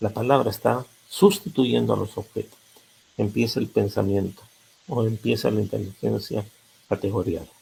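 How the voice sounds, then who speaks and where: The voice has vocal fry and a dark, mellow tone, moving at a fairly slow pace with ordinary pitch variation. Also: man. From Peru. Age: 80s+. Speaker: psychologist. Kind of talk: lecture.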